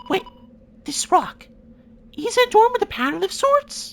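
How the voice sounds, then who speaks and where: This put-on character voice is squeaky and pitched extremely high. It moves through very wide pitch swings at a moderate pace. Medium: fan dub. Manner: formal, clipped.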